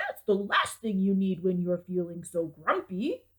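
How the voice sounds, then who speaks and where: A woman in a put-on character voice at a medium pitch and a moderate pace. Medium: read story. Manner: kind, gentle.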